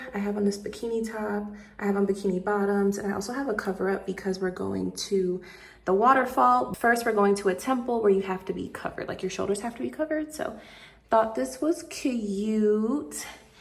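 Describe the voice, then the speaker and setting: Against noticeable background noise, a woman talks at a medium pitch and a fairly quick pace with lively intonation. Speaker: travel vlogger. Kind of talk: casual vlog narration. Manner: fast.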